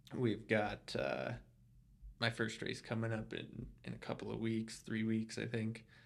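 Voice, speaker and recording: Here a man speaks at a fairly slow pace. His voice is at a medium pitch with ordinary pitch variation. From US, Colorado Springs. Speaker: ultra runner. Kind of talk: casual interview chat. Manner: halting, many fillers.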